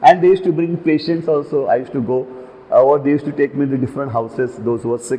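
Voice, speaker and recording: Against noticeable background noise, a fairly high-pitched man talks at a very fast pace. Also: ordinary pitch variation. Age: 70s. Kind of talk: interview.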